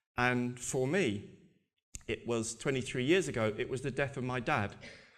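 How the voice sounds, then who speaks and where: Speech comes at a moderate pace with ordinary pitch variation. The room echo is audible. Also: man, medium pitch for a man. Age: 60s. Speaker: abuse survivor and charity advocate. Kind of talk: conference talk. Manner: halting, many repetitions.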